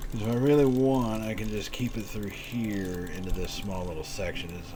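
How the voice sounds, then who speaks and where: In an American accent, the speaker moves along fairly quickly, with noticeable noise in the background. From Texas. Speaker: video game streamer. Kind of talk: live stream gameplay commentary. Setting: live stream. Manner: casual, with frequent fillers and restarts.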